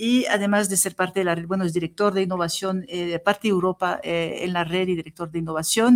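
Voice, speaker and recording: A woman with a French accent, at a fairly quick pace and with fairly even intonation. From Tunisia, raised in southern France. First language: French (speaking Spanish). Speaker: professor. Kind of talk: interview. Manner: halting.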